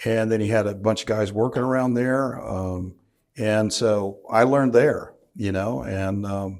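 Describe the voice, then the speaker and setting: Heard on a very clean recording with a silent background, a man with an American accent uses an ordinary speaking voice at medium pitch with fairly even intonation. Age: 60s. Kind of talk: interview.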